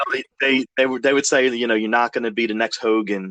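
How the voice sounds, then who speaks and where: A man's bright, sharp voice in a dry, close sound with no echo. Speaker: former wrestler and podcast host, guest. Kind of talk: interview conversation. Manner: halting, repeating words.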